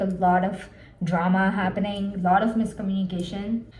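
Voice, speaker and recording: Her pace is fairly slow and her pitch medium for a woman. There is audible room echo. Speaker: book vlogger. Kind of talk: casual vlog. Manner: casual, filler-heavy.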